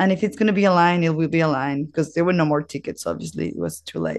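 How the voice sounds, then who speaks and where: A woman's vocal fry at a fairly quick pace, against a quiet background. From Mexico. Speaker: podcast host. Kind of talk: casual monologue.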